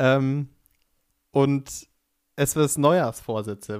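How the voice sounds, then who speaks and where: Here a man talks in a normal speaking voice at a fairly high pitch. His pitch varies in an ordinary way. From Upper Bavaria. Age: 20s. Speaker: podcast co-host, aspiring musical performer. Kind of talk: casual chat. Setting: Skype call.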